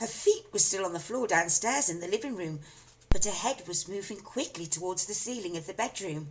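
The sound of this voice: Lively intonation in an unforced reading voice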